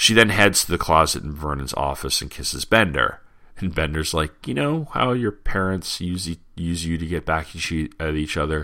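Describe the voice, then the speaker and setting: On a very clean recording with a silent background, a man with a very deep, low pitch and a bright, sharp tone speaks at a moderate pace with hardly any pauses and ordinary pitch variation. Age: 30s. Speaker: podcast host. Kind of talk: solo podcast commentary.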